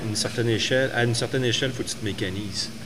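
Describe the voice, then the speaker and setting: Amid audible room echo and noticeable background noise, a man at medium pitch talks very fast with fairly even intonation. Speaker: brewer and distiller. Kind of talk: casual chat.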